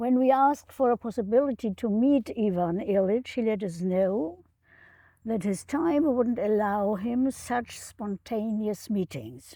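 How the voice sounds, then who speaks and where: With a dark, mellow tone, a woman speaks at a fairly slow pace, her fairly high pitch showing ordinary variation. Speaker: retired professor of education. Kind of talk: prepared remarks read in an interview. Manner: halting.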